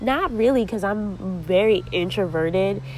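Noticeable background noise runs under a woman speaking at a medium pitch. Her pace is fairly slow, with ordinary pitch variation. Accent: American. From US Northeast, Connecticut (New Haven area). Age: 20s. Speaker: podcast host. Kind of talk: casual monologue.

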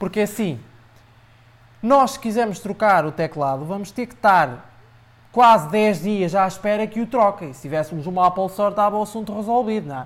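Talking at a fairly quick pace, a man uses a high pitch, lively intonation, and big swings in loudness. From Portugal, Aveiro district. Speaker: tech blogger. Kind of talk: casual chat. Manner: hesitant, frequent repetitions.

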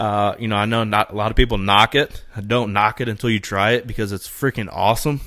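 In a Midwestern accent, a man with a fairly low pitch and a bright, sharp tone talks at a very fast pace, hardly pausing, his intonation fairly even. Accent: Midwestern, noticeable outside his region. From East Central Indiana. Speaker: bow hunter and hunting podcaster. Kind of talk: casual chat.

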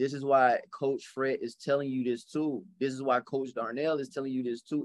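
At a fairly quick pace, a man talks with hardly any pauses. His pitch is medium. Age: 30s. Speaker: podcast host, educator and coach. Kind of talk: casual chat. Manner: animated.

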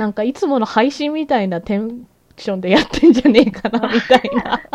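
Her tone animated, a woman talks at a moderate pace with a high pitch and very wide pitch swings. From Japan. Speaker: podcast host. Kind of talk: casual chat.

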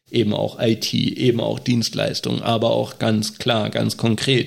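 Speech at a moderate pace carries vocal fry throughout. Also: man. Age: 30s. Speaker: state election candidate, deacon and nurse. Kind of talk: casual podcast discussion.

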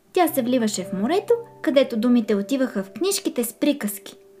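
A woman's animated, playful voice, fairly high in pitch with very wide pitch swings, over music in the background. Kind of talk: children's storybook reading aloud. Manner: animated, playful, with distinct character voices; warm, gentle storyteller pacing.

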